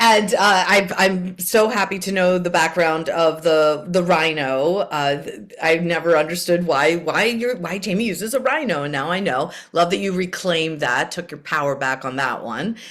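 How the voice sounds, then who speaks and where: A woman's fairly low voice, lively in intonation, at a moderate pace with hardly any pauses, over noticeable background noise. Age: 50s. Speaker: podcast host, therapist. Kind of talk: podcast interview.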